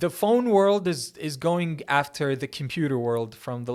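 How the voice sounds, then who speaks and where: The recording is very clean, and the background is silent. In it, a man talks with a non-native accent. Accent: foreign accent in English, praised as good. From Kuwait. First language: Arabic. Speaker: tech YouTuber. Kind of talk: Q&A answering viewer questions. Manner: fast.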